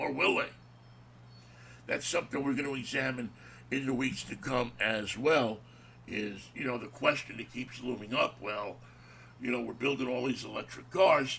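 The tone is bright and sharp. Delivery is fairly slow, with fairly even intonation. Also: man, medium pitch for a man. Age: old. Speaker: radio show host. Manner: conversational, folksy.

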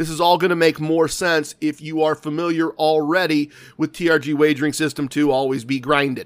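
A man's animated, fairly quick delivery with hardly any pauses, on a very clean recording with a silent background. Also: fairly high pitch for a man. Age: 50s. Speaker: gambling podcast host. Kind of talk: casual monologue.

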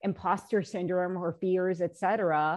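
A woman with medium pitch and an ordinary speaking voice talks at a moderate pace. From US, Korean American household. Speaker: bond fund manager. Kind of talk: panel discussion.

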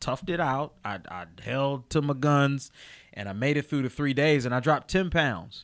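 On a very clean recording with a silent background, a man with an American accent uses a normal speaking voice, fairly high in pitch, at a moderate pace. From Chester, Pennsylvania. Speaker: podcast host and comedian. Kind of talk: casual chat. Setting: studio.

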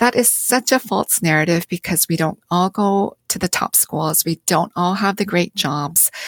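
With a Canadian accent, a woman speaks at a moderate pace and medium pitch, with ordinary pitch variation and hardly any pauses. The sound is dry and close, with no echo. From Canada (London, Ontario), Korean-born. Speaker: theology professor and author. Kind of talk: interview conversation.

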